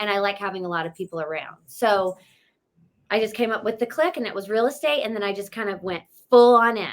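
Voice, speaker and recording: Speaking with a Southern US accent, a woman has a medium pitch and ordinary pitch variation. Her tone is energetic and her pace fairly quick. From US South, North Carolina (near Charlotte). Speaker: real estate agent. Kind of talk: interview.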